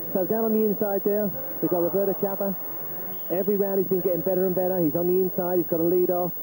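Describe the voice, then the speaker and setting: Over noticeable background noise, a man with a high pitch speaks at a very fast pace with very even loudness. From London. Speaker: cycling commentator. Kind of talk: live commentary. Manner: animated.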